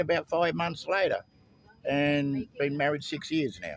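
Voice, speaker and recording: Speaking fairly slowly with an Australian accent, a man uses a fairly high pitch and ordinary pitch variation. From Australia (Victoria). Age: 70s. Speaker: Vietnam War veteran, expat. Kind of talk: street interview. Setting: outdoors. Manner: halting.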